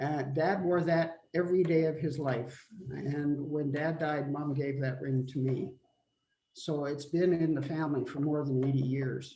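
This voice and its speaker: In a Canadian prairie accent, a man with a fairly high-pitched, dark, mellow, somewhat breathy voice speaks at a fairly slow pace with fairly even intonation. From Manitoba, Canada. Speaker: family member. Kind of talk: memorial remarks on a family video call.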